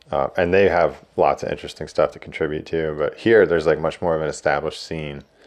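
Speech runs at a very fast pace. There are hardly any pauses. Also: man. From New Jersey. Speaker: surfboard shaper and lifeguard. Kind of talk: casual interview chat.

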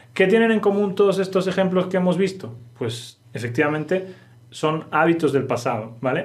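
Speaking fairly quickly with a Castilian accent, a man sounds somewhat breathy and uses lively intonation. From Spain. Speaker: Spanish teacher. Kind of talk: language lesson podcast.

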